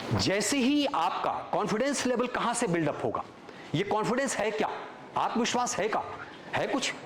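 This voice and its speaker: Over noticeable background noise and audible room echo, a man speaks in an animated tone with high pitch, ordinary pitch variation and very even loudness. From Chhattisgarh, Ramanujganj near Bihar border. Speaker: actor. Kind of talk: motivational talk at workshop. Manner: animated storytelling.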